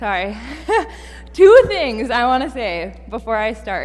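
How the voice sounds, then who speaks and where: A woman with an American accent talks at a very slow pace, with audible room echo. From Minnesota (Fergus Falls). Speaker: seminary student preacher. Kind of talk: sermon. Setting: church.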